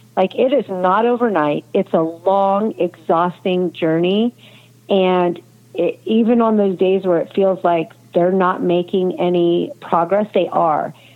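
At a fairly slow pace, a woman with an American accent talks in a medium pitch at very even loudness. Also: ordinary pitch variation. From California. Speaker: nonprofit founder and mother of injured athlete. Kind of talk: casual interview.

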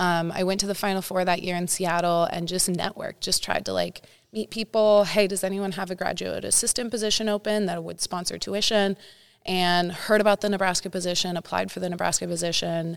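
A woman's medium-pitched, flat monotone in a Californian accent, at a fairly quick pace. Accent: Californian American. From Northern California, Santa Cruz area. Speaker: high school volleyball coach. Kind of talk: interview.

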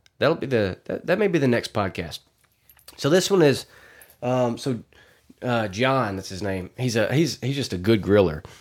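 Speaking with a Southern US accent at a moderate pace, a man's pitch swings very widely between long, frequent pauses. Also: medium pitch for a man. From Arkansas. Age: 30s. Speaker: podcast host. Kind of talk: casual monologue. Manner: animated.

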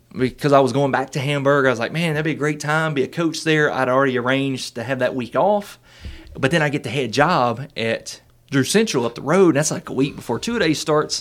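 Speaking at a moderate pace with a Southern US accent, a man uses a fairly high pitch for a man and ordinary pitch variation. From Arkansas. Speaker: student pastor. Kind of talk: casual interview, life story.

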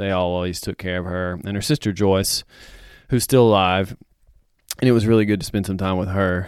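Very deep, low-pitched man with a warm tone and fairly even intonation, moving at a fairly quick pace broken by long, frequent pauses, on a very clean recording with a silent background. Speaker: podcast host. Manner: warm, reflective, sentimental, halting with repeated words.

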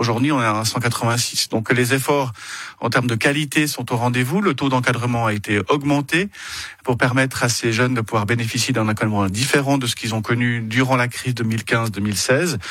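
Moderate pace and ordinary pitch variation in a man's medium-pitched speech. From Switzerland, Geneva. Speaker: cantonal government minister. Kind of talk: political interview. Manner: halting, many repeated words.

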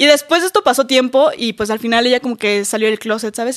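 A woman's fairly high voice at a very fast pace, dry and close with no echo, on a very clean recording with a silent background. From Mexico, Campeche. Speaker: social media influencer. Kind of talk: casual chat. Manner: animated.

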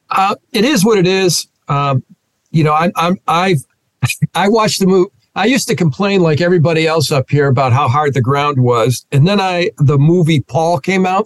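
A man with a Northeastern American accent speaks at a moderate pace in a high pitch, his intonation lively. His loudness stays very even, and the sound is dry and close with no echo. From US Northeast, Rochester, New York. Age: 60s. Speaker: pastor. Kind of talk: interview conversation.

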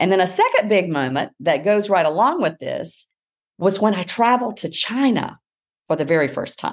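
Speaking in an American accent, a woman has an unremarkable speaking voice at medium pitch with lively intonation, set against a quiet background. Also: moderate pace. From US South, South Carolina. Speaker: education professor. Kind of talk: interview.

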